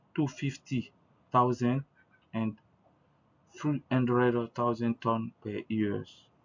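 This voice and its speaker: Very slow speech in an Ivorian accent comes with long, frequent pauses and monotone, flat intonation. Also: man, medium pitch for a man. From Ivory Coast. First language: French. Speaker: researcher. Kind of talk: conference presentation. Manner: halting.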